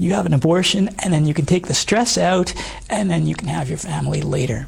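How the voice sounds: Speaking fairly quickly, a man has a fairly high, hoarse, raspy voice with vocal fry and ordinary pitch variation. Faint background noise can be heard.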